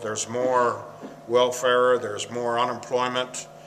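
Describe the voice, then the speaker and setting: A man with an American accent talks very slowly at a medium pitch. The recording carries noticeable background noise and audible room echo. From Michigan, US Midwest. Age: 60s. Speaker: former paper mill worker. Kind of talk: interview. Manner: halting.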